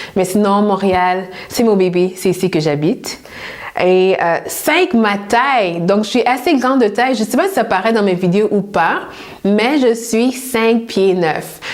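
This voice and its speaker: A woman speaks at a very slow pace with medium pitch and ordinary pitch variation. Her loudness stays very even, with noticeable background noise behind her. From Montreal, Quebec. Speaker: personal stylist youtuber. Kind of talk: casual Q&A vlog.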